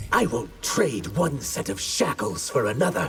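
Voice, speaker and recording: A man's growling put-on character voice at a medium pitch, with very wide pitch swings and a moderate pace. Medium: video game. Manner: cool, scornful.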